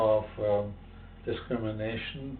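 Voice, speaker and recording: A man speaks in a German accent at a fairly slow pace, his pitch medium and his intonation flat and monotone. Audible room echo surrounds his voice. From Germany. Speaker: civil rights activist and professor. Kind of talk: interview testimony. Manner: halting, many fillers.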